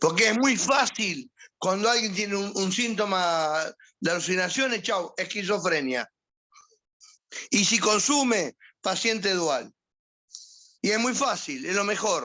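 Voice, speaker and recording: A man with a Rioplatense accent, high-pitched, with lively intonation, a fairly slow pace and long, frequent pauses. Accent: Argentine Spanish (rioplatense). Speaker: psychiatrist. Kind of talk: lecture. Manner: firm.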